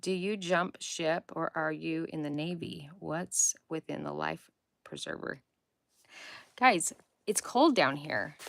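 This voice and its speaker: A woman with an American accent speaks at a very slow pace, with long, frequent pauses. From Utah. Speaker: faith and self-help livestream host. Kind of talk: casual livestream chat. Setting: home basement livestream. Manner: casual, chatty.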